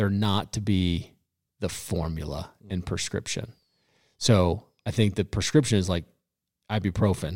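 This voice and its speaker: A man with an American accent speaks at a fairly slow pace, with a fairly low pitch and ordinary pitch variation. Long, frequent pauses break up his speech on a very clean recording with a silent background. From Colorado. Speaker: pastor. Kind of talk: casual chat. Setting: studio.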